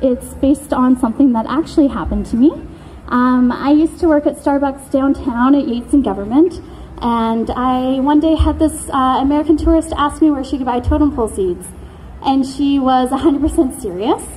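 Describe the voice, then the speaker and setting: A woman with a Canadian accent and a high voice talks at a fairly quick pace over noticeable background noise. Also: ordinary pitch variation. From Canada, Coast Salish, Vancouver Island area. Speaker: spoken word poet. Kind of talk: spoken word performance. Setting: stage with audience.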